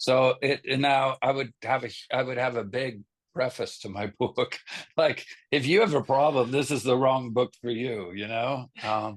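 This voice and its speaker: An ordinary speaking voice from a man at medium pitch, with fairly even intonation and a moderate pace, in a dry, close sound with no echo. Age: 50s. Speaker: rock band vocalist and bassist. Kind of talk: casual interview chat.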